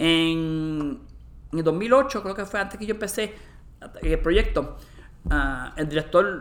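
A man with a high pitch speaks very slowly, leaving long, frequent pauses. His intonation is lively. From Puerto Rico. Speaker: molecular anthropologist. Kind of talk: interview. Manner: halting, with many repetitions.

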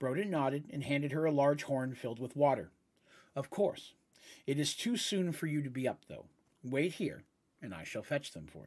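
This very clean recording has a silent background, and the speech moves at a moderate pace. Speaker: Dungeons and Dragons game master and storyteller. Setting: live stream, podcast recording. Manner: dramatic, expressive narration, shifting into character voices; friendly, conversational, a bit hesitant with fillers.

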